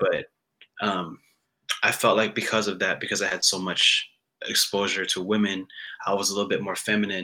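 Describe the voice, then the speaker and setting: Speech comes at a fairly quick pace. Long, frequent pauses interrupt it. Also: man. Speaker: guest musician. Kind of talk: casual chat. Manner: soft-spoken.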